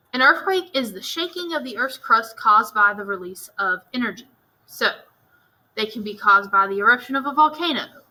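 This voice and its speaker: A woman with an American accent, a fairly high pitch, a bright, sharp tone, lively intonation and a fairly quick pace. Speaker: teacher. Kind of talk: lecture. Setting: recorded at a desk. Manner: casual, conversational.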